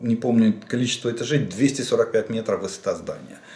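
Audible room echo surrounds a man whose medium-pitched voice shows ordinary pitch variation. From Ukraine. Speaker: military analyst, former general staff officer; military-political commentator. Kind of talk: solo video commentary on military situation. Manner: halting, with frequent self-corrections and fillers. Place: home room.

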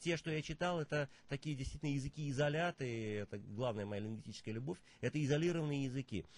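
Somewhat breathy and fairly high-pitched, a man talks at a very fast pace with ordinary pitch variation. The sound is dry, with no echo. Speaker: poet and performance artist; poet. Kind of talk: interview; poetry reading. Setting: studio. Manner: musical, rhythmic speech. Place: studio.

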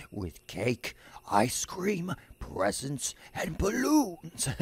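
A man puts on a strained character voice, fairly high in pitch, and talks at a very slow pace. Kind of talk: fake cheerful. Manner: strained, forced, as if straining.

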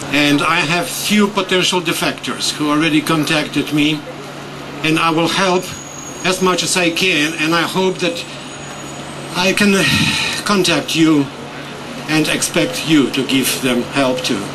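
A man with a European accent speaks at a fairly slow pace and a fairly high pitch, leaving long, frequent pauses. His loudness stays very even, his pitch varies in an ordinary way, and noticeable background noise is present. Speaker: ex-CIA agent, protest speaker; speaker. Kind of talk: protest speech. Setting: outdoors protest, talking to crowd. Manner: forceful, rallying; animated, emphatic. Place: street.

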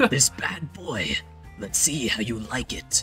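Over clear music in the background, a raspy, put-on character voice at a low-to-middle pitch moves at a fairly slow pace. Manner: menacing.

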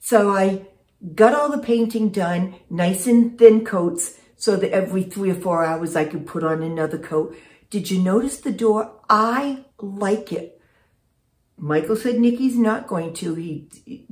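A somewhat breathy woman speaks at a fairly slow pace. There is audible room echo, but the background is quiet. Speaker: vlogger. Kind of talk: casual vlog chat. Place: home room. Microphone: phone near.

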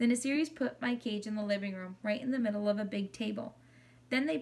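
The pitch shifts in an ordinary way. The lines are read in a natural reading voice.

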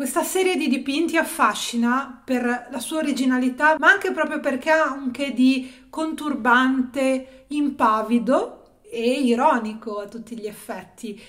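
Here a woman speaks at a fairly slow pace with high pitch and ordinary pitch variation. Her loudness swings widely. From Italy, Genoa; Italy. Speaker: art history youtuber; art commentator. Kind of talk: video essay / exhibition review. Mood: enthusiastic, playful. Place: home room. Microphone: phone near.

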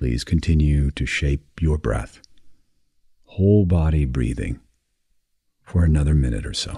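A man with a very deep, low voice speaks at a fairly slow pace in a soothing, calm tone, leaving long, frequent pauses. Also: ordinary pitch variation. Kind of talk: guided meditation for sleep. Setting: recorded audio for listening in bed. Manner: slow, soft, soothing, with long pauses; calm, gentle, hypnotic.

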